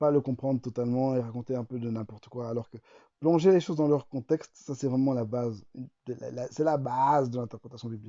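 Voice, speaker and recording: Talking at a fairly quick pace, a man keeps fairly even intonation at medium pitch. His loudness swings widely. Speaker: YouTuber teaching Bible study. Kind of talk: tutorial. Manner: fast; hesitant, many repetitions.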